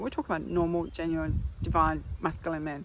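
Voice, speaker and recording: A woman speaks at a fairly quick pace with a non-native accent. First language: not English. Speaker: spiritual healer. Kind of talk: casual vlog monologue. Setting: outdoors.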